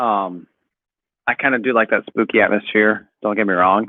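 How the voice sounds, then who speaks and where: Speaking at a moderate pace, a man has a medium pitch. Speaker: podcast co-host. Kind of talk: casual chat. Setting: livestream. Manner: soft-spoken.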